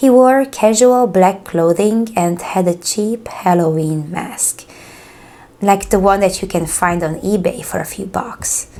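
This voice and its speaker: The speaker talks at a fairly slow pace with a Hungarian accent and ordinary pitch variation. Noticeable background noise can be heard. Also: woman, medium pitch for a woman. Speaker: true crime YouTuber. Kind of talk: horror story reading.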